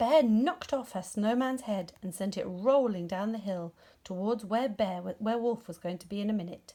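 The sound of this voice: At a moderate pace, a woman speaks with medium pitch, a dark, mellow tone and ordinary pitch variation.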